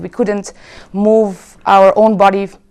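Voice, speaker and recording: This woman has a French accent and a medium pitch. She speaks at a moderate pace. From France (Paris). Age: 30s. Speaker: convert to Islam. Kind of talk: testimony.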